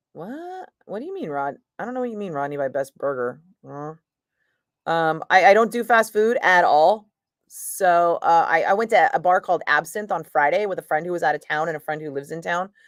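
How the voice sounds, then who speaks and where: Speaking at a fairly quick pace with a Northern California accent, a woman uses a fairly low pitch and lively intonation. Her tone is animated, with big swings in loudness. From San Francisco Bay Area, Fairfield. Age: 50s. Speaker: radio DJ. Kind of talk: casual live-stream chat.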